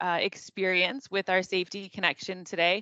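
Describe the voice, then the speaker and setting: The speaker is a woman with a Canadian accent. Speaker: workplace safety webinar presenter. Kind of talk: webinar presentation. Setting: online webinar. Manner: loud; animated.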